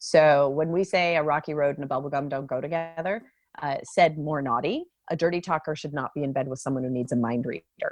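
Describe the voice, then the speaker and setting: With music in the background, a woman in a Californian accent talks at a fairly quick pace with a very deep, low pitch. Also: ordinary pitch variation. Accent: General American (Californian). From US, San Francisco Bay Area. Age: 50s. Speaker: dating app CEO. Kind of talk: podcast interview. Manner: animated.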